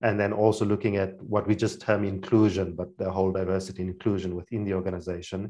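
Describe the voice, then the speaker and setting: A man's very deep, low voice with a dark, mellow tone, monotone, flat intonation, a very fast pace and hardly any pauses. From Namibia. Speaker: NGO leader and consultant. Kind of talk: casual interview conversation.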